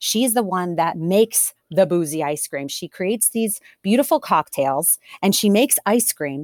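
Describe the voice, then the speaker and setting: A woman has an ordinary speaking voice, medium in pitch, with lively intonation at a moderate pace. The sound is dry and close, with no echo. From Delaware, US. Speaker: restaurant owner. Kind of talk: interview.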